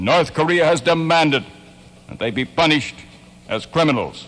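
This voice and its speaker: The speaker is a man with a rather high voice. He talks somewhat quickly. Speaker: radio news director. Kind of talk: radio newscast. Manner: distinctive news delivery.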